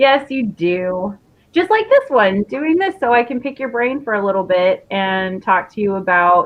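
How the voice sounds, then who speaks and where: Speaking in a normal speaking voice, a woman uses a fairly high pitch and lively intonation at a fairly slow pace. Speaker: interview show host. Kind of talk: casual interview chat.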